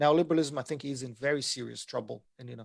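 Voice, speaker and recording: A man with a Portuguese accent and vocal fry, fairly quick pace, fairly even intonation, on a very clean recording with a silent background. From Brazil. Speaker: economics lecturer. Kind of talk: lecture.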